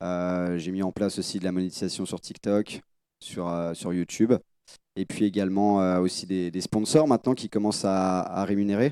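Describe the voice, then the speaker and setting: Recorded dry and close with no echo and a silent background, the very clean voice has a dark, mellow tone, fairly even intonation and a moderate pace. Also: man, very deep, low pitch for a man. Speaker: calisthenics athlete and coach. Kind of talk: conference panel talk. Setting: stage with audience. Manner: hesitant, many fillers.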